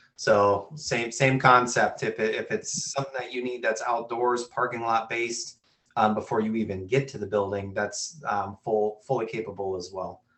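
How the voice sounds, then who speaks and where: A man's medium-pitched voice in a Minnesotan accent, fairly even in intonation, at a moderate pace with hardly any pauses. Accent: Minnesota. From US Midwest, Minnesota. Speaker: webinar host, sales and marketing. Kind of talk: webinar Q&A moderation.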